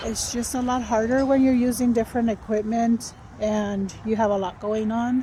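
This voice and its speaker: At a moderate pace, a woman talks in a monotone, flat intonation with a fairly high pitch. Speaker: vlogger. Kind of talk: casual vlog talk. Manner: whispering.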